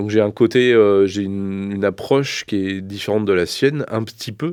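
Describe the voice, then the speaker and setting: A man talks at a moderate speed with a fairly low pitch and ordinary pitch variation, captured in a very clean recording against a silent background. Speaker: vocal coach. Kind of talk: interview. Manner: halting.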